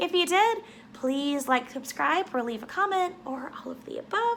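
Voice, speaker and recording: Her voice sits high and swings very widely in pitch. Noticeable background noise runs behind this woman. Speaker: writing vlogger. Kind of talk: casual vlog. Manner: animated.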